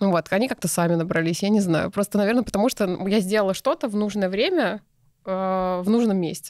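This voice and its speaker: Against a quiet background, a woman speaks at a very fast pace with very even loudness, ordinary pitch variation, and a dry sound with no echo. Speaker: entrepreneur, clothing brand founder; podcast guest. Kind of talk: casual interview. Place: studio. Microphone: studio mic.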